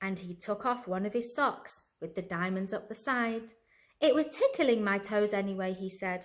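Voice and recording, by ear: The speech is read aloud. It comes in a natural voice.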